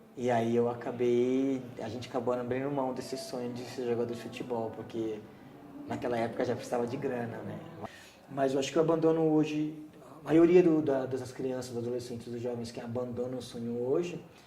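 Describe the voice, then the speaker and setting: A man at a medium pitch with fairly even intonation and a fairly quick pace, amid noticeable background noise and audible room echo. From Brazil, São Paulo (Heliópolis, grew up there from age 7). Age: 30s. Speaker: community resident interviewee. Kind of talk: oral history interview. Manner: halting, with repetitions.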